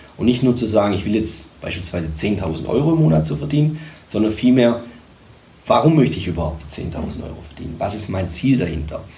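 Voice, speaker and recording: Over noticeable background noise and audible room echo, a man speaks at a fairly quick pace. His fairly low voice swings very widely in pitch. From Germany, Tübingen (Swabia). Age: 30s. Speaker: sales and communication coach, entrepreneur. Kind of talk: interview. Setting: studio.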